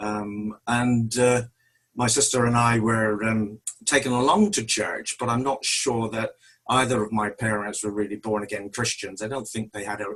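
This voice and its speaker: Speaking with a strong West Country accent, a man of medium pitch keeps a moderate pace and a monotone, flat intonation. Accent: West Country, strong, broader when nervous. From West Country, Devon (Tiverton). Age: 60s. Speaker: church member. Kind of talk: testimony.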